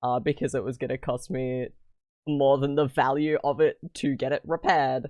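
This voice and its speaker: This voice has an Australian accent and fairly even intonation. The sound is dry and close with no echo, and the background is quiet. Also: man. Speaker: streamer. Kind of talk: casual chat.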